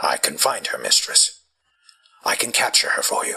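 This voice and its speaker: Delivered at a moderate pace, the voice is a put-on character voice. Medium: audio drama. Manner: nervous, groveling.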